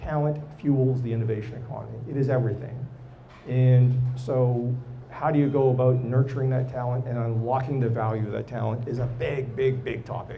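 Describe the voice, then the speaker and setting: A man speaks at a fairly quick pace with a medium pitch. His intonation is monotone and flat, with audible room echo. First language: not English or French. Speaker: tech executive and entrepreneur. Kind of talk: live podcast interview. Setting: live recording with audience.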